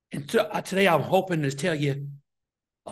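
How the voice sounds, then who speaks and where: A man with an American accent and vocal fry talks at a fairly quick pace. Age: 60s. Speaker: deacon preacher. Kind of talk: sermon.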